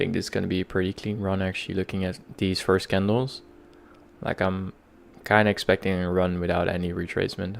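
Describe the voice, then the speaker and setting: A man with a very deep, low voice talks fairly quickly in a flat monotone. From Netherlands. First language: Dutch. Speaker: day trader streamer. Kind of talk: live trading stream commentary. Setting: live stream. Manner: halting, many fillers.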